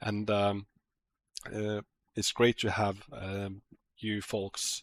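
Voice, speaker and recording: A man speaks fairly slowly in a fairly low, monotone, flat voice. The sound is dry and close with no echo, a very clean recording on a silent background. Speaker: game developer streaming an AMA. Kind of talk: casual livestream Q&A. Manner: halting, many fillers.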